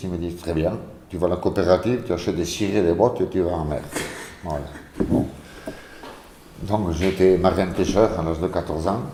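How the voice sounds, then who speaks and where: The speech comes at a fairly quick pace with ordinary pitch variation. Noticeable background noise and audible room echo are present. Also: man. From French Basque Country, Ciboure. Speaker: former fisherman, interviewee. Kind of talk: testimony.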